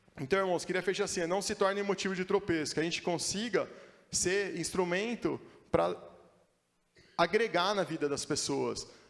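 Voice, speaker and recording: A high-pitched man speaks at a moderate pace with long, frequent pauses. His intonation is fairly even on a very clean recording with a silent background. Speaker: preacher. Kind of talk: sermon. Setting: church.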